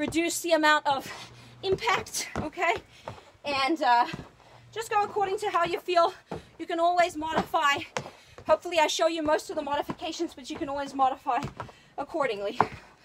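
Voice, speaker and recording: A woman's extremely high pitch with ordinary variation, a fairly quick pace, long, frequent pauses and noticeable background noise. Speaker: fitness trainer. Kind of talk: workout coaching. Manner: loud; energetic.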